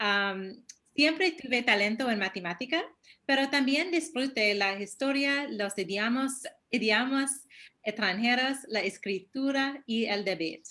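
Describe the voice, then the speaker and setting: A woman's high-pitched voice with a bright, sharp tone, lively intonation and a fairly slow pace. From US, New York. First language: English (speaking Spanish). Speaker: human rights statistician. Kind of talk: webinar presentation. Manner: halting.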